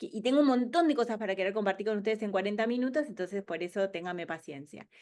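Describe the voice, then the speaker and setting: The words rush out very fast. The intonation rises and falls in a lively way. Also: woman, medium pitch for a woman. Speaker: speaker on business innovation. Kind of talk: webinar presentation. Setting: online webinar.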